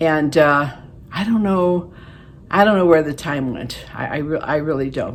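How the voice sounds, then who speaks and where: Noticeable background noise sits behind a woman's voice. Her pitch is very deep and low, with ordinary pitch variation. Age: 70s. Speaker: beauty vlogger. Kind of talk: casual vlog talk to camera. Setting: home, living room. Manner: halting, many fillers.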